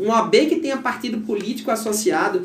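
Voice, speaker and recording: Over noticeable background noise and audible room echo, a man speaks in a high pitch. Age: 40s. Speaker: lawyer and bar association candidate. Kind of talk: interview.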